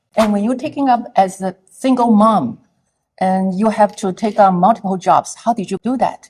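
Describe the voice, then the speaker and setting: At a moderate pace, a woman talks in a somewhat breathy voice of medium pitch with ordinary pitch variation. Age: 60s. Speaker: social media influencer. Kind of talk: interview.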